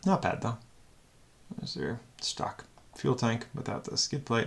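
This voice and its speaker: Vocal fry runs through a man's voice as he speaks at a moderate pace. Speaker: car reviewer. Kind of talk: unscripted auction review commentary. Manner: casual, thinking aloud with fillers.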